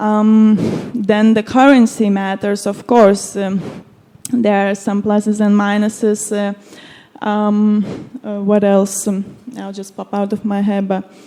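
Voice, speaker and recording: Moving at a fairly slow pace with long, frequent pauses, a woman with a non-native accent speaks in a dark, mellow tone and a monotone, flat intonation. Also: medium pitch for a woman. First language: Lithuanian. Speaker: conference panelist. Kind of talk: panel discussion. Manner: halting, many fillers.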